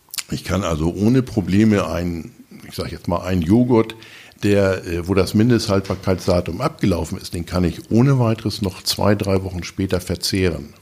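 Against noticeable background noise, a man with a very deep, low pitch speaks at a moderate pace with ordinary pitch variation. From northern Germany, Lower Saxony. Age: 60s. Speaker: food bank volunteer leader, retired soldier. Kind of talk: casual interview. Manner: hesitant, many filler sounds.

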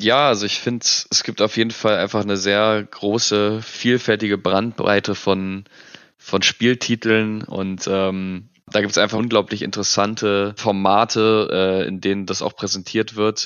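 In a monotone, flat intonation, the words unfold fairly slowly. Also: man, fairly low pitch for a man. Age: 20s. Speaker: esports world champion gamer. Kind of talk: interview. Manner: hesitant with fillers.

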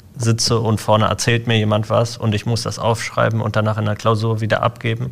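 Here a man talks at a medium pitch and a moderate pace. His intonation is monotone and flat. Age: 20s. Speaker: IT apprentice. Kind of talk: casual interview.

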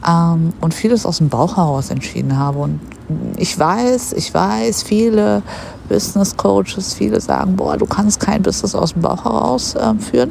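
Against noticeable background noise, a woman with a fairly low pitch speaks with very wide pitch swings. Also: moderate pace. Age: 30s. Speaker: podcast host, hairdresser and bodybuilder. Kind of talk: casual monologue. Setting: outdoors on a park bench. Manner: casual, filler-heavy.

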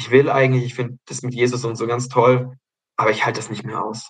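Very fast and somewhat breathy, a man speaks at a medium pitch in a monotone, flat delivery. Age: 20s. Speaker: forest kindergarten director, religious education graduate. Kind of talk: casual interview.

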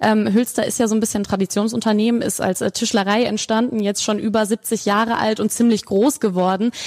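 A woman talks at a fairly quick pace with hardly any pauses and a fairly high pitch. Her loudness stays very even and her intonation flat and monotone. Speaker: podcast host. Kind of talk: casual interview. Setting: large showroom, echoey. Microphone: room echo.

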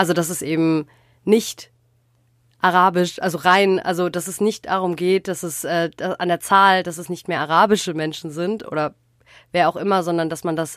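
At a moderate pace, a woman speaks with a fairly low pitch and a monotone, flat intonation. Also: very clean recording, silent background. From Germany, Ruhr area. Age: 20s. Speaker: journalism student and podcast co-host. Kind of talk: casual chat.

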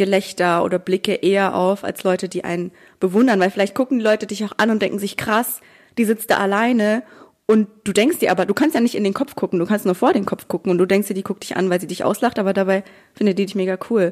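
A woman at medium pitch, very fast, with fairly even intonation. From Bavaria, small town. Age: 20s. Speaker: social media creator and student. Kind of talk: casual interview chat.

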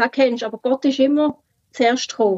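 Her voice is high-pitched, with fairly even intonation and a moderate pace. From Switzerland, Basel-Landschaft. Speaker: former free church member sharing her story. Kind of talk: personal testimony in conversation.

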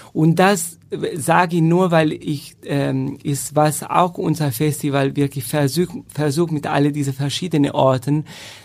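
A man speaks at a very slow pace in a fairly high pitch. His intonation stays fairly even. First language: Italian (speaking German). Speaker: professional chamber musician. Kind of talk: casual interview.

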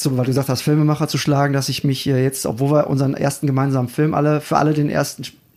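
Speaking at a very fast pace, a man keeps a medium pitch with little pitch movement and a slightly mellow tone.

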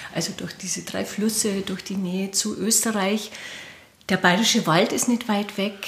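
A woman speaks at a moderate pace in a monotone, flat way over noticeable background noise. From Lower Bavaria, Bavarian Forest (Mauth). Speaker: film director. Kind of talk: interview. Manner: hesitant, many fillers.

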